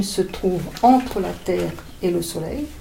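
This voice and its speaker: A woman is speaking with audible room echo. Noticeable background noise is present too. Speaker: author reading her own children's story. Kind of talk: reading aloud. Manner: halting.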